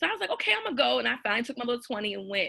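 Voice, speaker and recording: A very fast, animated woman's voice at a medium pitch, bright and sharp in tone, with vocal fry. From US South. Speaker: writer and former teacher. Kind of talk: casual interview storytelling.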